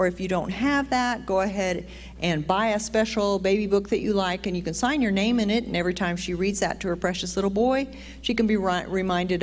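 A woman's voice at a fairly quick pace, with ordinary pitch variation. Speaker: church announcer. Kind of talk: church announcements. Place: church. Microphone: handheld.

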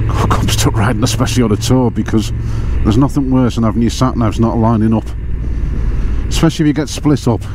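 A man speaks at a fairly quick pace. The sound is dry with no echo, and there is noticeable background noise. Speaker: motorcycle vlogger. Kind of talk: casual vlog chat. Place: motorbike. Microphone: helmet.

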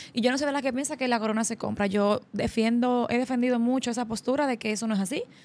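A woman talks in a fairly high pitch. Her tone is animated. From Dominican Republic. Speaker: podcast host. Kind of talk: interview. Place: studio. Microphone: studio mic.

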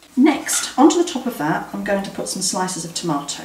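Audible room echo surrounds a woman's voice at a moderate pace. Light background noise sits underneath. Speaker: presenter. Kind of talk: cooking tutorial. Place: kitchen.

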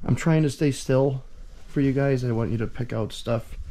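Here a man speaks at a moderate pace in a dark, mellow tone. Light background noise is present. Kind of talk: casual vlog commentary. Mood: joking, wry. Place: garage. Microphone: phone near.

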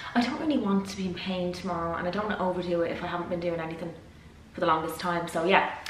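In a room with audible echo and light background noise, a woman talks at a very fast pace. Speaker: vlogger. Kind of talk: casual vlog chat. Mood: nervous but chatty. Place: kitchen. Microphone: phone near.

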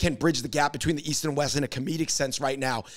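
The speaker has an American accent and ordinary pitch variation. The background is quiet. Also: man. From US. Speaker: podcast host. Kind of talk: casual chat. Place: studio. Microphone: handheld.

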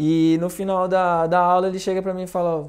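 Here a man talks at a moderate pace. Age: 30s. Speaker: orchestra conductor and violist; guest. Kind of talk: casual chat. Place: studio. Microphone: lapel.

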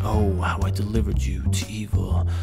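A man with lively intonation at a moderate pace, music in the background. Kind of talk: poetry reading.

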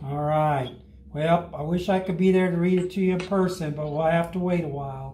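A man with a high-pitched voice speaks at a moderate pace. His tone is dark and mellow, and the room echo is audible. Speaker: fire rescue operations chief and grandfather. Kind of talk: children's story read-aloud over video call. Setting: video call from home. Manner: warm, friendly, conversational. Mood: warm, gentle. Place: meeting room. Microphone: camera far.

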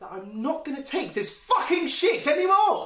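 In a raised, projected voice with a bright, sharp tone, a man speaks at a fairly slow pace, his extremely high pitch swinging very widely amid audible room echo. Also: quiet background. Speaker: drama graduate actor. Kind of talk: performed dramatic monologue; acting monologue. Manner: animated, conversational, confessional storytelling. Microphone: phone near.

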